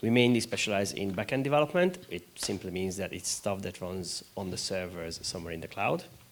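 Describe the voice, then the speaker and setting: A man with a Hungarian accent talks at a fairly quick pace. His pitch is fairly low, with ordinary variation. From Hungary. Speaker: games studio founder. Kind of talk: panel discussion.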